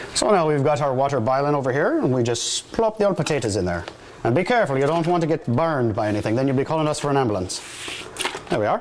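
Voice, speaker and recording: Through noticeable background noise, a man talks at a very fast pace and fairly high pitch. His pitch swings very widely while his loudness stays very even. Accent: Irish. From Ireland, County Cork. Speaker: firefighter. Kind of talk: cooking demonstration. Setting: fire station kitchen. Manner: hesitant, with fillers.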